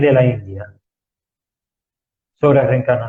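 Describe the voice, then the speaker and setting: A man speaks in a soft-spoken way. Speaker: spiritual talk show host. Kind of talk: lecture. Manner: slow.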